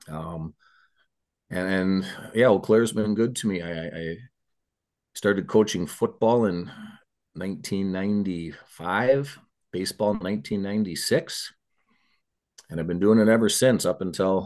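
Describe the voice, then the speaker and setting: Against a quiet background, a man with a fairly low pitch and ordinary pitch variation speaks with long, frequent pauses. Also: moderate pace. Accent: Upper Midwest. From Minnesota (Eagan). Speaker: retired high school baseball coach. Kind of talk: casual interview. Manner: halting, repeats words.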